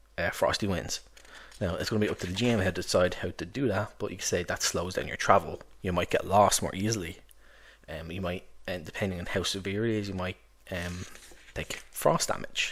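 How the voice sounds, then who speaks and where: A man speaks at a fairly quick pace with a very deep, low pitch and ordinary pitch variation, leaving long, frequent pauses. The recording is very clean, with a silent background. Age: 30s. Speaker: tabletop RPG reviewer. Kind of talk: product review monologue. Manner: halting, many fillers and restarts; enthusiastic.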